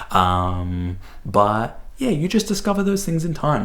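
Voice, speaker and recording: A man with an Australian accent speaks in a space with audible room echo. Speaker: book reviewer. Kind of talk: casual monologue. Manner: hesitant, many fillers.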